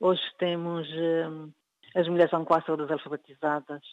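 The woman's voice is very deep and low. She speaks at a fairly slow pace. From Cape Verde. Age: 70s. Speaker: writer. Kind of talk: interview. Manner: halting.

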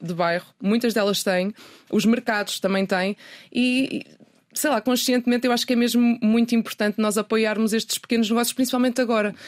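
Her voice is fairly high and her intonation fairly even as this woman speaks very fast. The sound is dry and close, with no echo. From northern Portugal (Minho, Ponte da Barca). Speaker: journalist and sustainability website founder. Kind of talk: interview. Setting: radio studio.

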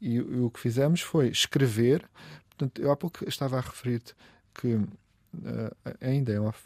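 On a very clean recording with a silent background and a dry, close sound with no echo, a man with a medium pitch speaks at a moderate pace with ordinary pitch variation. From Portugal, coastal Algarve (Olhão). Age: 50s. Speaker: food writer and event organizer. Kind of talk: casual interview. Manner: halting, many repetitions.

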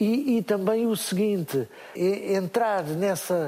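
Through noticeable background noise, a man speaks at a high pitch. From Portugal, interior. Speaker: musician and children's entertainer. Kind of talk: live interview. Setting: stage with audience.

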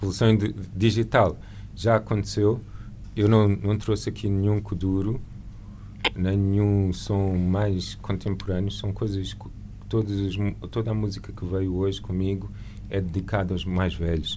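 A man speaks fairly slowly at a fairly low pitch, with monotone, flat intonation and long, frequent pauses. Room echo can be heard. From Lisbon, Portugal. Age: 40s. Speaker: painter and visual artist. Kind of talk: radio interview.

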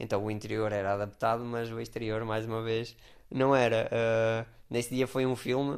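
Against a quiet background, a man talks at a moderate pace and medium pitch with monotone, flat intonation. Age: 20s. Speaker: wheelchair user, former climber. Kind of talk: interview testimony. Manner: halting, repeats words.

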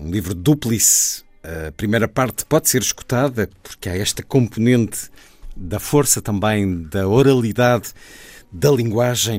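This man has an ordinary speaking voice, pitched fairly low, with lively intonation. He talks at a fairly slow pace. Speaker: radio host. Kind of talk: radio interview.

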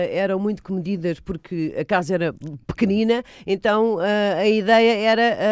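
A woman at medium pitch and a fairly slow pace, with ordinary pitch variation, on a very clean recording with a silent background. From Lisbon and Almada, Portugal. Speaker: actress and film director. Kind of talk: radio interview. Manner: halting, many fillers.

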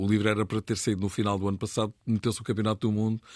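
The very clean recording, with a silent background and a dry, close sound with no echo, carries a man's fairly low-pitched voice. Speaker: radio football commentator, book author. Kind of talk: casual chat. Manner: animated, laughing.

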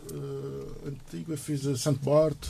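The man's voice has a dark, mellow tone and a fairly high pitch. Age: 50s. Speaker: sailor. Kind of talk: radio interview. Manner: halting.

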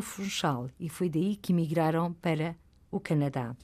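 Speaking at a fairly slow pace, a woman with a fairly low pitch talks in a European Portuguese accent. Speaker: radio host. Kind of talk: interview. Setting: studio.

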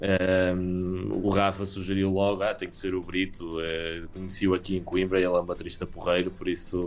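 Over background music, a man with a very deep, low pitch talks at a moderate pace in a monotone, flat delivery with hardly any pauses. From Portugal, partly raised in England. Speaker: rock band singer. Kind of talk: interview. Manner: halting, many fillers.

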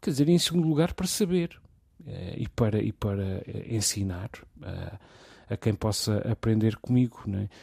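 Over a very clean, silent background with a dry, close sound and no echo, a man speaks in a dark, mellow, somewhat breathy tone, his pitch swinging very widely and his speech broken by long, frequent pauses. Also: medium pitch for a man, moderate pace. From Portugal. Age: 40s. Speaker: radio host. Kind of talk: casual discussion.

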